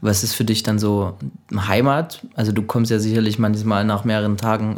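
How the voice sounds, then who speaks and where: Here is a man with an ordinary speaking voice. He has a medium pitch and a moderate pace. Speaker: podcast host. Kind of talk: casual interview. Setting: music studio lounge.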